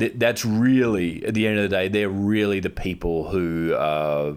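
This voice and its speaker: Here is a man with an Australian accent and a fairly low pitch. He keeps a moderate pace with ordinary pitch variation. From Western Australia. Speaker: advertising strategist and podcast co-host. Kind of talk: interview conversation.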